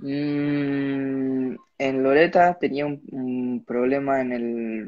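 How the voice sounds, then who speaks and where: A man with a mid-range pitch speaks, keeping his intonation fairly level. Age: young. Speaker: motocross rider. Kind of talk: casual interview. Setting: at home, live stream.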